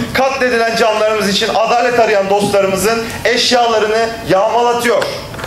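A man talks at a moderate pace with an extremely high pitch. Audible room echo and light background noise surround him. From Turkey. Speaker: local party leader. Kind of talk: political speech. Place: hall. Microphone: podium.

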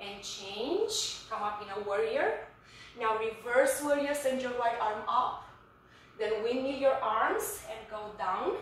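A woman's fairly high voice at a very slow pace, with ordinary pitch variation, big swings in loudness, strong room echo and light background noise. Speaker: fitness instructor. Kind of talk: guided yoga class, calm step-by-step cueing. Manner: soft, slow, soothing pace with pauses for breathing; instructive, clear and directive. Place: home room. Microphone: camera far.

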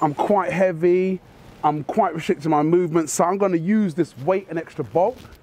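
The dry sound with no echo captures a man speaking at a high pitch. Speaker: martial arts instructor. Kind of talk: tutorial. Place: street.

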